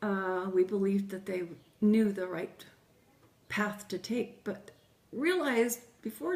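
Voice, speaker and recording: A somewhat breathy woman's voice of medium pitch with fairly even intonation. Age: 60s. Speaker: grandmother interviewee. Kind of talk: interview.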